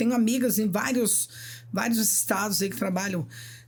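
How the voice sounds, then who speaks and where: A woman's voice shows ordinary pitch variation, with noticeable background noise present. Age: 60s. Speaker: nurse. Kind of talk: podcast interview.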